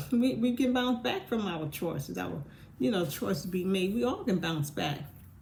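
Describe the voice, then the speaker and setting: The woman's pitch swings very widely. Her pace is moderate. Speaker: vlogger. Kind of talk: casual monologue.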